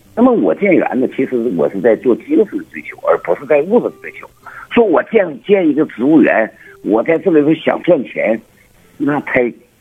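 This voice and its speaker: A man at a moderate pace, with big swings in loudness and noticeable background noise. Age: 60s. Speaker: botanical garden owner. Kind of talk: phone interview. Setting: phone call. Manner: halting, many fillers and repetitions.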